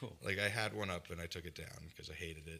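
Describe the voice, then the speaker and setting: Talking at a very fast pace, a man has a very deep, low pitch. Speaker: photographer and punk musician. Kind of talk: casual chat interview.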